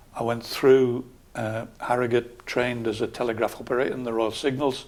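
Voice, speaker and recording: Speaking at a moderate pace with a Geordie accent, a man keeps a monotone, flat intonation. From northern England, Newcastle area. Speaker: local councillor and army veteran. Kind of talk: interview. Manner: calm.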